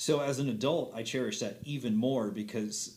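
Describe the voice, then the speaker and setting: An unremarkable speaking voice with an American accent and ordinary pitch variation. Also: man. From Montana. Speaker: musician and theater performer. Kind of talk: casual chat.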